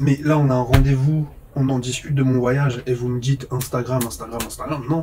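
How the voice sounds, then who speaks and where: A man's medium-pitched voice stays monotone and flat over noticeable background noise. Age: 30s. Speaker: vlogger, phone repairer. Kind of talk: casual monologue vlog.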